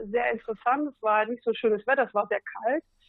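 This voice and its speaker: With a plain, everyday voice, a woman speaks at a fairly high pitch, varying it in an ordinary way. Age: 40s. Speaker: SUP fitness trainer. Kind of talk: casual interview.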